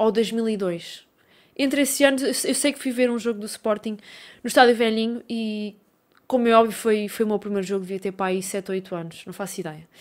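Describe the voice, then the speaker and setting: A woman talks in a fairly high pitch with ordinary pitch variation. The background is quiet. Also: moderate pace, big swings in loudness. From Portugal, Coimbra; Portugal. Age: 20s. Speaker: YouTuber and football fan; YouTuber. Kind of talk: casual Q&A video. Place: home room. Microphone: studio mic.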